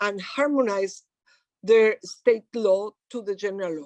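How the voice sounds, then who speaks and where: Close and dry with no echo, a woman's fairly high voice moves at a fairly slow pace with ordinary pitch variation. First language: Spanish. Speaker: human rights activist. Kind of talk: lecture. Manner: halting.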